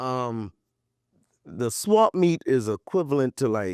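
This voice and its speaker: A man with an American accent uses very wide pitch swings in a dry, close sound with no echo, in a very clean recording with a silent background. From US South, Charleston, South Carolina. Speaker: podcast host. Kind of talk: casual chat.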